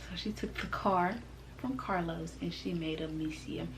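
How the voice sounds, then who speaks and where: A woman speaks in an animated tone at a moderate pace. Audible room echo and noticeable background noise surround her. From US South, Mississippi and Tennessee. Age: 20s. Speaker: YouTuber. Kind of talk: casual vlog introduction.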